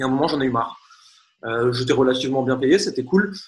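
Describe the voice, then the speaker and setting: This man's pitch is fairly high. He speaks very fast. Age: 30s. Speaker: marketing coach and entrepreneur. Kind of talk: interview.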